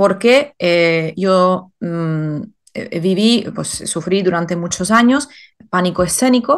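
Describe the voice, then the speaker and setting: A woman at a very slow pace, fairly low in pitch with ordinary variation, against a quiet background. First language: not Spanish (speaking Spanish). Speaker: life purpose coach and author. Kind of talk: interview. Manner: hesitant with many fillers.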